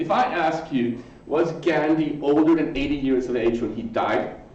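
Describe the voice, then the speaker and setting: A man with an American accent and a fairly high pitch, lively in intonation, amid noticeable background noise and audible room echo. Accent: sing-songy American accented English. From US West Coast, Los Angeles (Swedish background). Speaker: professor. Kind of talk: lecture. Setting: conference talk with audience, mic. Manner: fast.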